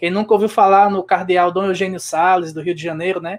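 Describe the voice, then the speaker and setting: A man speaks with a northeastern Brazilian accent. His voice is high-pitched. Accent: Northeastern Brazilian sertão. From Brazil, Rio Grande do Norte interior (Seridó). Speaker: guest interviewee, spiritist speaker. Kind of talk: interview.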